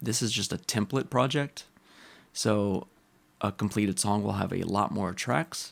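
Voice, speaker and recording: Captured on a very clean recording with a silent background, a man with vocal fry speaks at a moderate pace and a fairly low pitch, using ordinary pitch variation. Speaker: composer. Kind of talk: tutorial screen-recording talk. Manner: casual.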